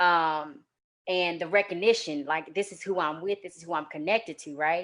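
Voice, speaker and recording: Against a quiet background, a woman with a normal speaking voice and an American accent talks at a fairly low pitch and moderate pace, with fairly even intonation and big swings in loudness. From New York. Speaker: guest writer. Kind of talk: casual discussion. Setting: live stream.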